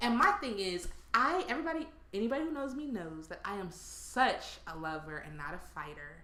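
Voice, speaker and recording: Animated and fairly quick, a woman's medium-pitched voice makes very wide pitch swings and big swings in loudness, with audible room echo and noticeable background noise. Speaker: podcast co-host. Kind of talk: casual chat. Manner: projects to sound normal.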